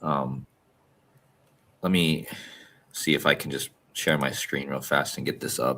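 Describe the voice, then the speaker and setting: Soft-spoken and fairly slow with long, frequent pauses, a man talks at a very deep, low pitch in a monotone, flat intonation, with vocal fry and a bright, sharp tone. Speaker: podcast co-host. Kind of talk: casual chat. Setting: video call from a hostel room. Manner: normally loud. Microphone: good mic, clear.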